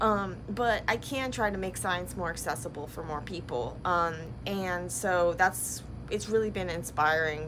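A woman's bright, sharp tone carries vocal fry over noticeable background noise. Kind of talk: casual vlog chat. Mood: reflective, a bit sad. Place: workshop. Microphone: phone near.

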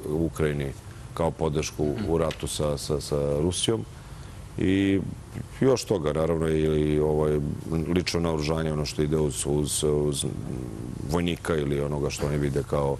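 Very deep and low, a man's voice holds fairly even intonation and very even loudness over light background noise. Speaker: guest. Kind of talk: interview answer. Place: studio. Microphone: lapel.

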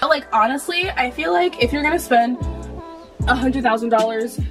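Clear music plays in the background. A woman speaks in a high voice with ordinary pitch variation. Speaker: vlogger. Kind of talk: casual vlog chat. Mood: frustrated ranting, frank. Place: home room. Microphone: camera far.

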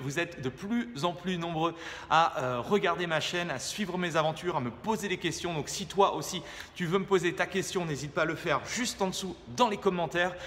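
A man talks at a moderate pace in a high pitch with ordinary pitch variation. Light background noise sits behind him. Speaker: fitness coach. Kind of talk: casual vlog chat and workout tutorial. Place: gym. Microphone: phone near.

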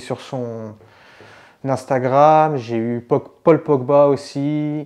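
Against a quiet background, a man speaks at a very slow pace in a dark, mellow tone with monotone, flat intonation. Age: 30s. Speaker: painter and digital artist; interviewee. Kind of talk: interview monologue. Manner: halting, many repetitions and fillers. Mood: calm, pleased. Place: home room.

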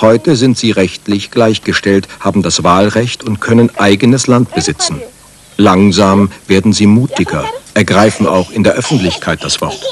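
With noticeable background noise behind him, a man speaks in a solemn tone at a moderate pace, his fairly low pitch showing ordinary variation. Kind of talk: 1989 German TV documentary narration. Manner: measured, formal, authoritative documentary voice-over; even, steady pace, solemn, newsreader-like.

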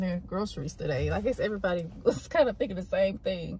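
Recorded dry with no echo and with light background noise, a woman speaks at a fairly quick pace. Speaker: vlogger mother. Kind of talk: casual vlog chat. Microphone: phone near.

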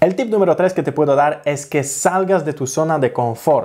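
A man's voice with ordinary pitch variation, quiet background. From Poland. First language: Polish (speaking Spanish). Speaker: travel vlogger; language-learning vlogger. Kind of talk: tutorial. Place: home room. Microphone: studio mic.

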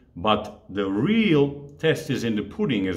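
A man's fairly slow voice with vocal fry. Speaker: fitness coach. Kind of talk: casual vlog chat. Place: home room.

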